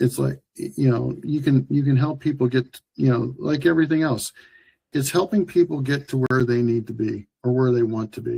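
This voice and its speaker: With a dark, mellow tone and an American accent, a man speaks at a moderate pace and medium pitch, somewhat breathy, with ordinary pitch variation. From US Midwest, small-town Ohio. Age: 60s. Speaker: healthcare executive and former Marine. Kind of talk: interview. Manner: halting, with many repeated words.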